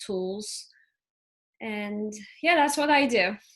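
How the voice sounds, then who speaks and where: Over a quiet background, a woman with a Turkish accent speaks at a fairly high pitch. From Turkey. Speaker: ADHD and family coach. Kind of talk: interview.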